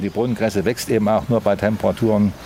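The speech moves at a fairly quick pace, with noticeable background noise. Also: man. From Thuringia, Erfurt. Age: 70s. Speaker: market gardener. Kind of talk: interview on location. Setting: outdoors.

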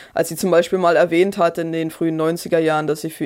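A woman talks at a fairly quick pace. Her pitch is fairly low and her intonation fairly even. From Brandenburg, eastern Germany. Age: 30s. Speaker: historian and author. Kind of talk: interview. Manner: hesitant, with fillers and repetitions.

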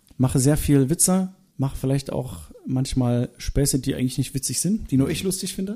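Somewhat breathy, a man's voice has a dark, mellow tone and lively intonation, delivered at a fairly quick pace. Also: fairly high pitch for a man. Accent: East German. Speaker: singer. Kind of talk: interview. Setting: at home.

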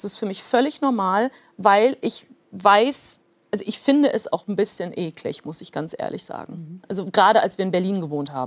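A woman talks at a moderate pace and a medium pitch. Her intonation is lively. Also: big swings in loudness. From Soviet Union, raised in North Rhine-Westphalia. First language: Plautdietsch (speaking German). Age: 30s. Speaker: author. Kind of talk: interview.

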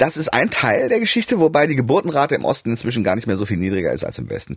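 The man's voice is recorded dry and close, with no echo. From Germany, Hannover and Düsseldorf; half of youth in USA. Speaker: economist, research institute president. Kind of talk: explanatory interview chat.

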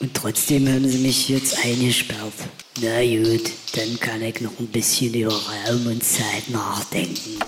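Speech comes at a very slow pace with music playing in the background. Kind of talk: comedy sketch voicemail, playing a crackpot professor and a bimbo-type lady in turns. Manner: animated, exaggerated character voices, pompous professor then dim, drawling lady.

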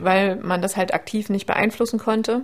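A woman with an unremarkable speaking voice talks at a moderate pace, medium in pitch with fairly even intonation. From Saxony, Leipzig. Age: 30s. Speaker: endometriosis patient. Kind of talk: interview.

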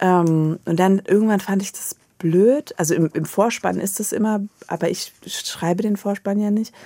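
The sound is dry and close with no echo. A woman of medium pitch speaks at a moderate pace with fairly even intonation. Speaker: novelist and columnist. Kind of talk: radio interview. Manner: halting, many repetitions and fillers.

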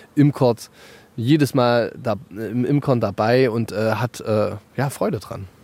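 With a dark, mellow tone, a man speaks at a medium pitch and with fairly even intonation. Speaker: hobby beekeeper and allotment gardener. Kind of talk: casual interview.

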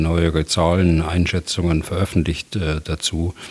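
Over noticeable background noise, a man talks at a moderate pace. His pitch is very deep and low, and his intonation is monotone and flat. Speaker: retired general, military expert. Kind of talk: expert interview.

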